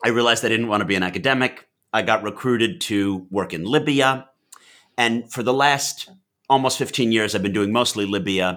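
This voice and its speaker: A man's bright, sharp voice at a medium pitch, fairly quick in pace, with ordinary pitch variation. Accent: New York. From US Northeast (New York / Massachusetts). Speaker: Middle East analyst and author. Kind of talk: interview.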